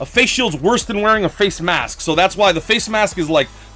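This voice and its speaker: Music plays behind a man whose raised, projected voice has an animated tone and lively intonation at a moderate pace. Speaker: gaming livestreamer. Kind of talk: casual livestream chat. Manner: slurred speech.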